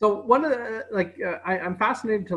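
A man speaks at a moderate tempo, his intonation lively, with the background quiet. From Canada. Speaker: historian host. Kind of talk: casual interview. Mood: reflective, earnest. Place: home room. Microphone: video call.

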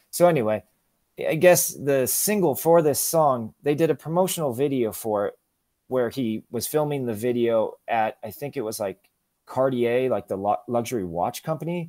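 In an American accent, a man with a dark, mellow tone speaks with lively intonation over a quiet background. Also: moderate pace, dry sound with no echo. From US West Coast, San Diego; California. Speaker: musician; podcast guest. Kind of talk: interview conversation. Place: home room.

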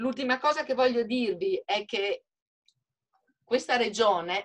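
Against a quiet background, a woman speaks at a high pitch and a fairly slow pace with lively intonation. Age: 60s. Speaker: hotelier and author; webinar panelist. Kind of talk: webinar panel discussion. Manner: animated. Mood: earnest, appealing. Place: home room. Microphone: video call.

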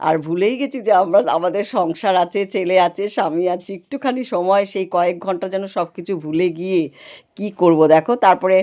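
Heard on a very clean recording with a silent background, a woman's dark, mellow tone sits at a medium pitch with ordinary pitch variation. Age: old. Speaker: vlogger. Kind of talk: vlog narration. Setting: outdoors. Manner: animated.

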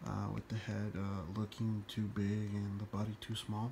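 A man's fairly low, somewhat breathy voice at a fairly slow pace, in a monotone, flat intonation. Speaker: toy collector. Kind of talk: tutorial. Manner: halting.

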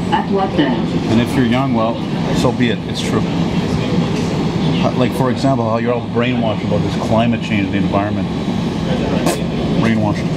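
Loud background noise surrounds a man talking at a fairly quick pace with ordinary pitch variation. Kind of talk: casual vlog chat. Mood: grumbling, opinionated rant. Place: train. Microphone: phone near.

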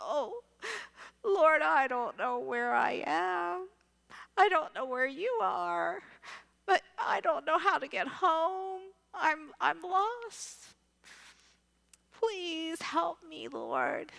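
A woman's put-on character voice, high in pitch, very slow, with long, frequent pauses. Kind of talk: sermon. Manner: pleading, distraught.

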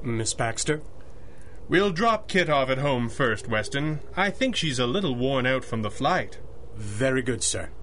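His intonation is lively, his pace fairly slow, and his pitch fairly high for a man, in an ordinary speaking voice. Light background noise sits behind the man. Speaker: radio drama actor playing masked hero.

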